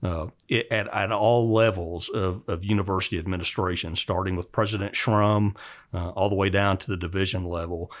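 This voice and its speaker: A plain, everyday voice with an American accent, fairly quick and with fairly even intonation, on a very clean recording with a silent background. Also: man, fairly low pitch for a man. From Oklahoma, US. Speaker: university department head in animal science. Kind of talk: interview. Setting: office.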